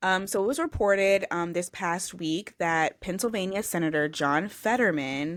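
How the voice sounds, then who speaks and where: A woman with an ordinary speaking voice talks at a moderate pace, hardly pausing at all. Her pitch sits in the medium range with ordinary variation, and the recording is very clean with a silent background. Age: young. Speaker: podcast co-host. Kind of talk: casual chat.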